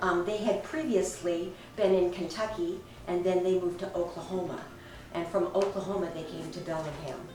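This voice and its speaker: Her pitch is medium, and this woman speaks at a moderate pace with fairly even intonation. Background noise is noticeable, and room echo can be heard. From Washington State, Bremerton. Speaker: family storyteller. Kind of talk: oral history recollection. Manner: halting, many fillers.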